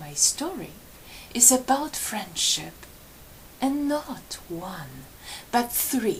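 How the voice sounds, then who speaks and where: Speaking at a very slow pace with long, frequent pauses, a woman with a Polish accent uses a high voice marked by very wide pitch swings and big swings in loudness. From Poland. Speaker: storyteller. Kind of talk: live storytelling. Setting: library event with audience.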